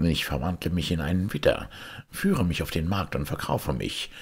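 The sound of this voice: A man puts on a character voice with a husky, rough edge and vocal fry. His pitch is low and swings widely. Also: moderate pace.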